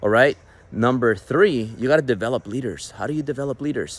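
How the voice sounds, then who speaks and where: A man talks at a moderate pace. He has a Mexican accent. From Mexican American. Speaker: business coach, entrepreneur. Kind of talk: motivational business talk.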